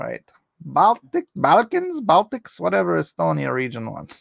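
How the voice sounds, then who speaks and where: Over a quiet background, a man speaks at a fairly slow pace in a dry sound with no echo. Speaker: YouTube political commentary host and comic artist; YouTube political commentary host, comic artist. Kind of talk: live-stream commentary. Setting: live stream. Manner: animated. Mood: opinionated, animated. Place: home room. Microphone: studio mic.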